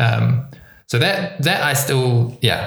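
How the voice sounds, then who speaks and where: There is a somewhat breathy quality to this man's voice. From New Zealand. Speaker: community organizer and co-founder. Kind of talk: casual interview conversation.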